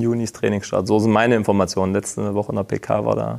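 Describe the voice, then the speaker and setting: This is a man with a fairly low pitch. His tone is dark and mellow. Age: 30s. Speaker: professional footballer, team captain. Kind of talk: interview. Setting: stadium.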